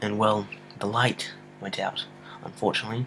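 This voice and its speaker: A man's quiet, fairly low mumbling at a moderate pace. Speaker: amateur movie reviewer. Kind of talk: casual vlog review. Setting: home at night, filming on a computer. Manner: quiet, mumbling.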